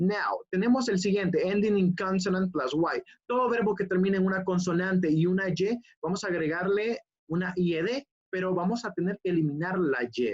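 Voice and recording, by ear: A woman speaks with ordinary pitch variation and a slightly mellow tone. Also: fairly low pitch for a woman, moderate pace.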